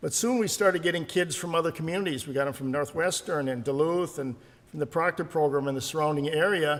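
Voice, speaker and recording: Talking at a very fast pace, a man with an American accent uses a fairly high pitch and ordinary pitch variation. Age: 70s. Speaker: wrestling coach. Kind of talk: acceptance speech. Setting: stage with audience. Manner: halting, many fillers.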